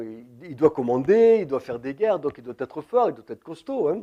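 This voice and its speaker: This man's voice has a dark, mellow tone. His pitch swings very widely. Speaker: preacher. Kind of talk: sermon.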